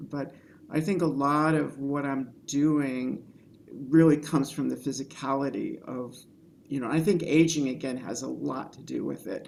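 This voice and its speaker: A woman speaks at a moderate pace with a very deep, low pitch and vocal fry. Her intonation is fairly even, while her loudness swings widely. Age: 60s. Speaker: filmmaker. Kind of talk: panel Q&A discussion.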